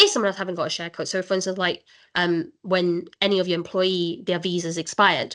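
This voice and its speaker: Fairly quick speech from a woman with a medium-pitched voice. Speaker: immigration solicitor. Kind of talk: webinar presentation. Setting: online webinar. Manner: fast.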